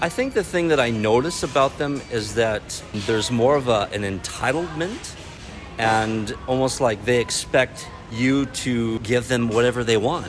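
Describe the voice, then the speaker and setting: Male voice at medium pitch, fairly slow pace and ordinary pitch variation, with music in the background. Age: 40s. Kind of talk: street interview.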